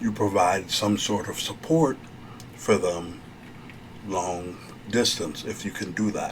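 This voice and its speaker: Over noticeable background noise, a soft-spoken man talks fairly slowly at a fairly low pitch. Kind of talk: ASMR therapy role play, advice talk.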